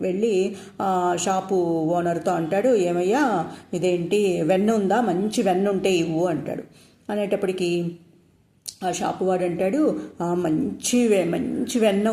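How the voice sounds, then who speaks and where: A woman's dark, mellow voice at a medium pitch, with ordinary pitch variation. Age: old. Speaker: storyteller. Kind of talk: bedtime story for children.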